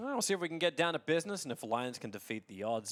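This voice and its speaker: Lively intonation with an Australian accent. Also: man. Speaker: esports commentator. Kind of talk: live commentary. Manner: animated.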